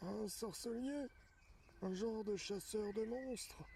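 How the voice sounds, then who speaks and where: A put-on character voice with a fairly high pitch moves at a fairly slow pace over clear background noise. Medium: solo performance. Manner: hesitant, unsure.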